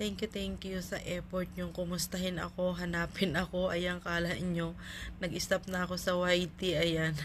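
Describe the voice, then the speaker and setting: A woman speaks at a moderate pace with a fairly low pitch. Her voice is somewhat breathy and her intonation monotone and flat. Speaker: vlogger. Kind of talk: casual vlog chat. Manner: filler-heavy, relaxed.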